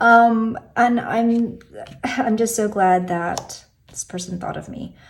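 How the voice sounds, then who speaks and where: A woman with an American accent speaks at a very slow pace in a fairly high pitch, her intonation fairly even but with big swings in loudness. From US, Korean heritage. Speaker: tarot youtuber. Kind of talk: casual video talk, deck walkthrough. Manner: hesitant, many fillers.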